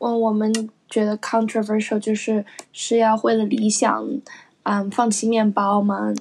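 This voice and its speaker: This woman's fairly high voice keeps a very even loudness as she talks at a fairly slow pace. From China. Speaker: podcast co-host, recent graduate. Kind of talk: casual chat. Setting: at home.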